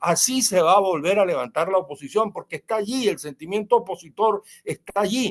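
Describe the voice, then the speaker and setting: Recorded with a dry, close sound and no echo, a man with a high pitch talks at a fairly quick pace, with ordinary pitch variation and hardly any pauses. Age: 70s. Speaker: politician and writer. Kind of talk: interview.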